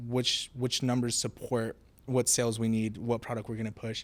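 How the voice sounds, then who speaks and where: A man at medium pitch speaks at a moderate pace in a monotone, flat way, on a very clean recording with a silent background. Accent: Spanish. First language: Spanish. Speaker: college program intern. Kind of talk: casual interview podcast. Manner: repetitive false starts.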